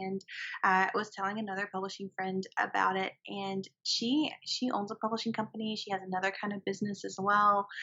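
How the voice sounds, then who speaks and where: A woman's medium-pitched voice with a Southern US accent at a fairly quick pace. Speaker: writer and podcast co-host. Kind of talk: casual chat.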